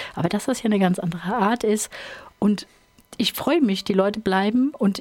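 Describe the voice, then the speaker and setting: A woman speaks with a normal speaking voice at a medium pitch. Her intonation is lively. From Rhineland-Hesse, Ingelheim am Rhein. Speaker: country singer and band leader. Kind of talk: radio interview. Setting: studio.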